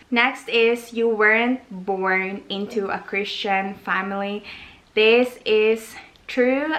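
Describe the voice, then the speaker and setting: Over noticeable background noise, a woman with an American accent speaks very slowly at a fairly high pitch with fairly even intonation. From Philippines. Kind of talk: casual vlog Q&A.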